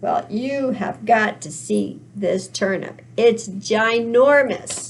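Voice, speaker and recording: Using a put-on character voice, a woman speaks at a very slow pace with a fairly high pitch and lively intonation. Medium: read story.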